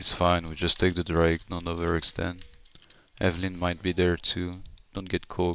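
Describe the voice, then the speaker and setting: A man with an American accent, a very deep, low pitch, monotone, flat intonation and a moderate pace. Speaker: gamer streamer / coach. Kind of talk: gameplay commentary tutorial. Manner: casual, many filler words.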